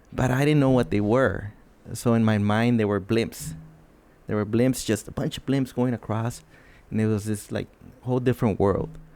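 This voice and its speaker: A man talks at a moderate pace and a medium pitch, his tone dark and mellow. His intonation stays fairly even, broken by long, frequent pauses. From northern Mexico, Ciudad Juarez area. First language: Spanish. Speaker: podcast co-host. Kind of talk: casual chat.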